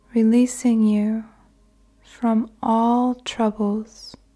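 A woman talks very slowly in a fairly high, dark and mellow voice. She sounds somewhat breathy, with monotone, flat intonation. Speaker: guided meditation narrator. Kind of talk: guided meditation / sleep meditation. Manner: slow, soothing, calm.

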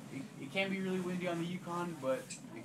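A man's speech comes fairly quickly, set against noticeable background noise. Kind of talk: informal talk to a group. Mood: relaxed, smiling. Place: home room. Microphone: camera far.

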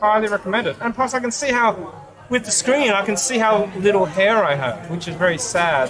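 A man talks at a moderate pace with lively intonation. Crowd noise fills the background. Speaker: vlogger testing a camera. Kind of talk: casual vlog chat. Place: cafe. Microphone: phone near.

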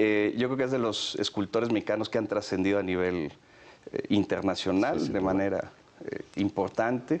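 The man's pitch is fairly low. He talks at a fairly quick pace. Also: ordinary pitch variation. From Mexico, San Luis Potosí. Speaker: federal police commissioner. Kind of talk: interview. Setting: office. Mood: warm, reminiscing, smiling. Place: office. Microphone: lapel.

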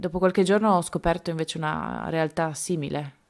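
In a very clean recording with a silent background, a woman with a very deep, low pitch and vocal fry speaks at a fairly quick pace with fairly even intonation. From Colombia, outskirts of Bogotá. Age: 30s. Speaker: trafficking survivor. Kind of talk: testimony. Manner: halting.

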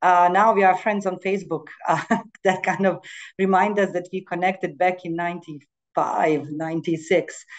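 Against a quiet background, a woman speaks at a fairly slow pace in a medium pitch with monotone, flat intonation. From Bosnia and Herzegovina. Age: 40s. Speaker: international organization staff. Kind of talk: panel discussion.

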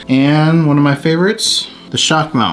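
A man talks at a moderate pace while light noise sounds in the background. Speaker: tech reviewer. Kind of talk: casual unboxing review. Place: home room.

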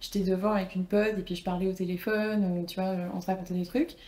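Somewhat breathy and dark, mellow in tone, a woman's voice moves at a fairly quick pace. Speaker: personal branding coach and former model; personal branding coach. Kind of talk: casual interview. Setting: studio with camera. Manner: calm, composed. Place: home room. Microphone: lapel.

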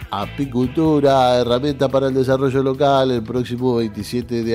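A man talks at a fairly slow pace with faint music in the background. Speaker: radio news presenter. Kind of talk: radio news reading. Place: studio.

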